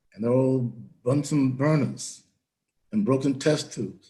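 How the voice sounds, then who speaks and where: Speaking in an American accent, a man has a dark, mellow, somewhat breathy voice at a fairly high pitch. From Florida, Volusia County. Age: 80s+. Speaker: town hall panelist, elder educator. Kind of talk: panel discussion.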